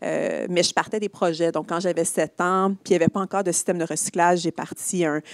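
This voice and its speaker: A woman with a Quebec accent speaks at a fairly low pitch and a fairly quick pace. Her intonation is monotone and flat. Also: dry, close sound with no echo. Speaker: social entrepreneur, company CEO. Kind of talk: conference talk, onstage conversation. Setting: stage with live audience and online stream.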